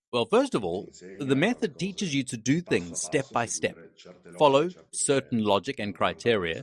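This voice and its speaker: A man's medium-pitched voice at a moderate pace, with vocal fry and very wide pitch swings, in a very clean recording with a silent background and a dry, close sound with no echo. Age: 40s. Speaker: trading student and plant manager. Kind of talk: interview. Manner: hesitant, with fillers.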